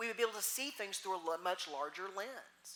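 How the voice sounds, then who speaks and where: A woman at medium pitch with a Texas accent, very fast and with very wide pitch swings. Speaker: minister. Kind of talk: sermon.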